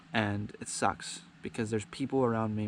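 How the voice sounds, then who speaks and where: The intonation is monotone and flat throughout. The pace is moderate. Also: man. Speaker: vlogger. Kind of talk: personal vlog monologue. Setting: outdoors by the ocean. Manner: halting, hesitant with fillers.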